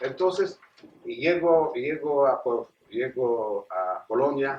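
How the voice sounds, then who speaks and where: A man speaks very slowly in a fairly high voice, his intonation lively and full of movement. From Poland. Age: 70s. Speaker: Holocaust survivor. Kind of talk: testimony. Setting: stage with audience. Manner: halting.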